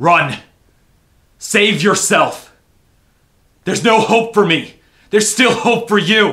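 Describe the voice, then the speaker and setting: A man puts on a character voice with a high pitch, speaking at a fairly slow pace with long, frequent pauses. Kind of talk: dramatic monologue acting. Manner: desperate, pleading, anguished.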